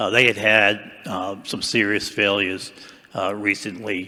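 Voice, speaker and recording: His tone bright and sharp, a man speaks at a fairly slow pace. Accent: Boston. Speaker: retired dam safety engineer, past association president. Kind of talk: panel discussion.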